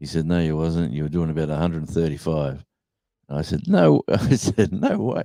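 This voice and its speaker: Speaking at a moderate pace with an Australian accent, a man has a very deep, low pitch, a dark, mellow tone and ordinary pitch variation. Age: 60s. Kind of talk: casual chat.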